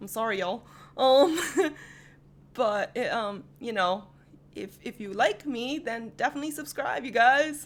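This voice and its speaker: Her pitch fairly high and her intonation lively, a woman speaks at a fairly slow pace. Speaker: anime rap reaction youtuber. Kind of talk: casual reaction commentary. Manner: loud; animated.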